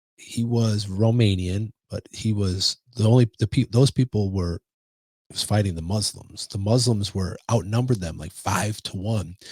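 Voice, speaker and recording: Animated and somewhat breathy, a man with a Chicago accent speaks at a moderate pace and fairly low pitch, the sound dry and close with no echo. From Chicago, US Midwest. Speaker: podcast co-host. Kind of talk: casual chat.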